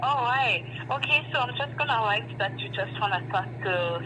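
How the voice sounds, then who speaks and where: In a French accent, a woman speaks amid audible room echo and noticeable background noise. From France or Quebec (French-speaking). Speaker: bank customer service agent. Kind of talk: customer service phone call.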